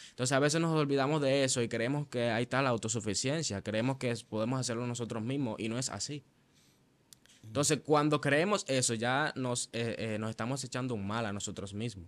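With a Venezuelan accent, a man talks at a fairly quick pace with ordinary pitch variation. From Venezuela, Maracay (Aragua). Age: young. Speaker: church musician and worship leader; interview guest. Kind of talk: testimony. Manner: halting, with frequent fillers and repetitions. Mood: earnest, reflective. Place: studio. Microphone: studio mic.

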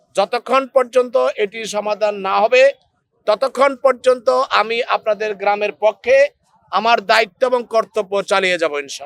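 The sound is dry and close with no echo, and the pitch variation is ordinary. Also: man, high pitch for a man. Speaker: local political party representative. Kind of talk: speech at a rally. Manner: formal.

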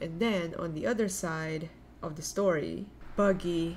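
Over light background noise, a woman with a fairly low pitch speaks at a fairly slow pace. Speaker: anime reaction youtuber. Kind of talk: casual vlog chat. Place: home room. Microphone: webcam.

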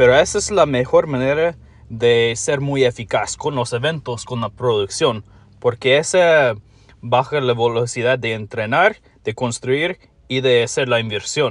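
A man speaks at a fairly slow pace with a non-native accent. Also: medium pitch for a man, ordinary pitch variation. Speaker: mobile game YouTuber. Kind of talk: tutorial. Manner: halting, with fillers.

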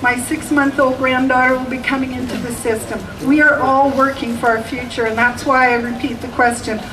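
Amid noticeable background noise, a woman with a Canadian accent and high pitch talks at a fairly quick pace in a flat monotone with hardly any pauses. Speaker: kindergarten teacher. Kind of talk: rally speech. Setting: outdoor rally with audience. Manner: hesitant start, storytelling.

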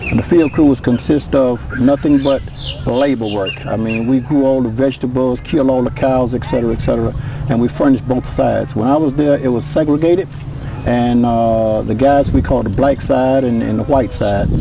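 A man speaks in a dry sound with no echo, with noticeable background noise behind him. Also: medium pitch for a man, fairly even intonation. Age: 60s. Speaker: former reform school inmate. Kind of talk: interview testimony. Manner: halting. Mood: somber, recalling painful past. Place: open country.

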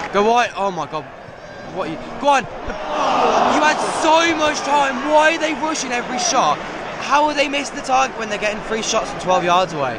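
Loud background noise surrounds a man's voice. The sound is dry, with no echo. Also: moderate pace. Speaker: football fan vlogger. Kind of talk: live match reaction commentary. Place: stadium. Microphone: phone near.

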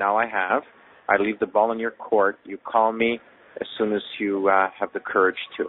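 An unremarkable speaking voice at a moderate pace, with fairly even intonation, a dry sound with no echo and light background noise. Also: man. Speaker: caller. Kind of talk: voicemail message. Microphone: phone line.

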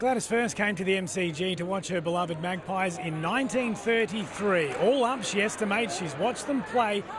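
The speaker has an Australian accent, a moderate pace and ordinary pitch variation. The sound is dry with no echo, though noticeable background noise is present. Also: man. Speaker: TV news reporter. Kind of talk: TV news report. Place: stadium. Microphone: handheld.

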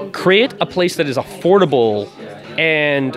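Music plays behind a man whose pitch swings very widely as he talks. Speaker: comic studio representative. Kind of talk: interview answer. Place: shop. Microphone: handheld.

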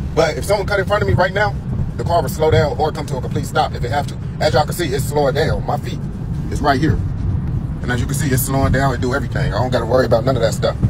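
Over loud background noise, a man talks at a very fast pace with ordinary pitch variation, the sound dry with no echo. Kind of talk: casual vlog chat. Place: car. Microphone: phone near.

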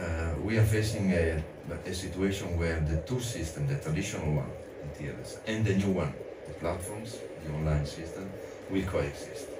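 Moderate pace, long and frequent pauses, noticeable background noise. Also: man. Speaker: film festival director. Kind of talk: panel discussion. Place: studio.

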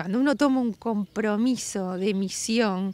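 A woman speaks very slowly at a fairly high pitch with ordinary pitch variation. The sound is dry, with no echo. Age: 60s. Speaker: restoration project leader. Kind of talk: interview. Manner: animated. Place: street.

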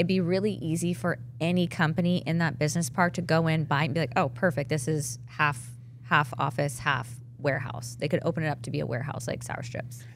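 Her voice is very deep and low, and somewhat breathy. The woman talks at a fairly quick pace with ordinary pitch variation. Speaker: fitness apparel entrepreneur. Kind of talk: casual chat.

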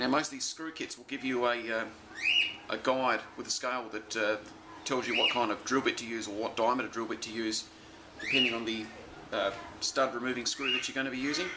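Loud background noise fills the recording. A man speaks at a fairly quick pace. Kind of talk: tutorial. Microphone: phone near.

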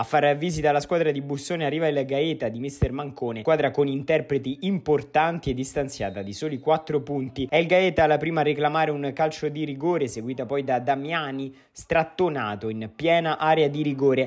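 An energetic man talks at a fairly quick pace with hardly any pauses. His pitch is fairly high, with ordinary variation. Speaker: sports reporter and commentator. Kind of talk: sports match highlights commentary, voiced over footage. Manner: brisk, energetic play-by-play delivery; clear and polished, like a scripted broadcast.

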